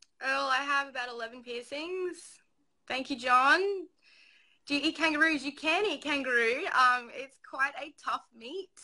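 A woman with an Australian accent speaks at a moderate pace over a quiet background. Her voice is high-pitched, with a bright, sharp tone. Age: 20s. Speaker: livestreamer. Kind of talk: casual chat. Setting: video call. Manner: giggly. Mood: cheerful, smiling. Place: home room. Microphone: phone near.

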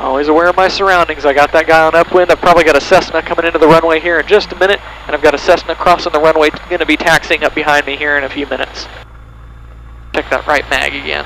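A man speaks very fast in a fairly high pitch, his intonation monotone and flat. Noticeable background noise runs underneath. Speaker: student pilot vlogger. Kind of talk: solo flight narration. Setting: cockpit of small plane. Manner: methodical, matter-of-fact.

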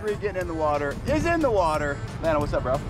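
With clear music in the background, a man speaks at a fairly quick pace in a dry sound with no echo. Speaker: family travel vlogger. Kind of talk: casual vlog chat. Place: waterside. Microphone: phone near.

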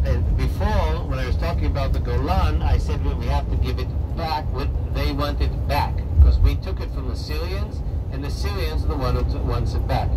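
Loud background noise runs under a man speaking at a fairly quick pace. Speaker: tour guide. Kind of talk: tour guide commentary. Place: bus. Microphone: camera far.

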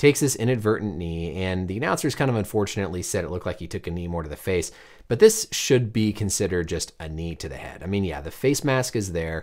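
A man with a very deep, low pitch talks at a very fast pace, with lively intonation and hardly any pauses. The background is quiet. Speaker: doctor commentator. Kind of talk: commentary. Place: studio.

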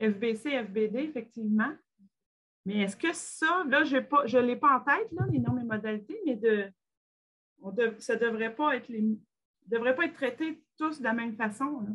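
A high-pitched woman's voice at a fairly slow pace, with ordinary pitch variation and long, frequent pauses. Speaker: meeting facilitator. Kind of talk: online meeting facilitation. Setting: video call.

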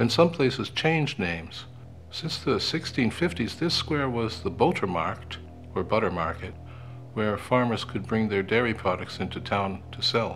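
A man's pitch swings very widely as he talks fairly slowly, with music playing in the background. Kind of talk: travel guide narration.

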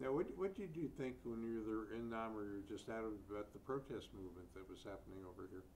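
The intonation is lively and there are hardly any pauses, in an unremarkable speaking voice. Light background noise sits underneath. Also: man, medium pitch for a man. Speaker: public broadcasting interviewer; oral history interviewer. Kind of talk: oral history interview. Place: studio.

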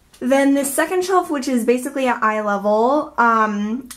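The voice goes at a moderate pace with ordinary pitch variation. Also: woman. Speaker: organizing vlogger. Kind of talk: casual vlog chat. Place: bathroom. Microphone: phone near.

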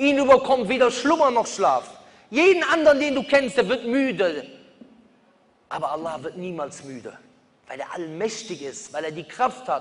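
The delivery moves at a moderate pace with very wide pitch swings and long, frequent pauses. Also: man, big swings in loudness. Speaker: preacher. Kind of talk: sermon. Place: hall. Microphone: podium.

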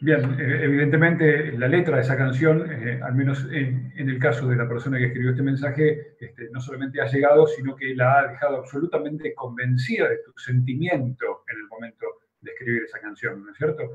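Speaking at a fairly quick pace, a man leaves hardly any pauses. His pitch is fairly high and his intonation fairly even. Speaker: radio host. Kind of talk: broadcast interview. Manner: formal. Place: office. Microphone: video call.

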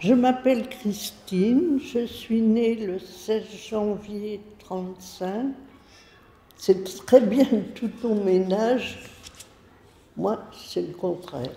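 A woman with a fairly high pitch speaks very slowly, with ordinary pitch variation. Long, frequent pauses break her speech, and audible room echo surrounds it. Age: 80s+. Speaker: retired elder, letter writer. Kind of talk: reading aloud. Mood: tender, reflective about aging. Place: classroom.

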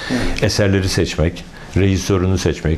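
Moderately paced speech from a man, very deep and low in pitch, the intonation fairly even. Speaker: retired opera singer, painter and former opera director; interviewee. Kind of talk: interview. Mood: warm, reflective. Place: workshop. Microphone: lapel.

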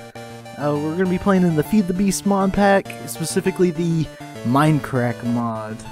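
A man with a fairly high pitch at a moderate pace, music in the background. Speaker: gaming video creator. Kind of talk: casual gameplay commentary. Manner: monotone.

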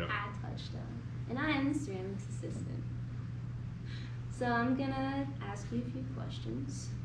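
A woman speaks at a fairly slow pace with long, frequent pauses over loud background noise. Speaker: crafts center intern, ceramics assistant. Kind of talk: interviewer questions. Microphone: camera far.

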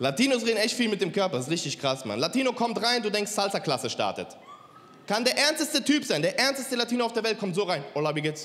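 Speaking very fast, a man lets his pitch swing very widely. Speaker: stand-up comedian. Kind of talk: stand-up comedy routine. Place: stage. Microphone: handheld.

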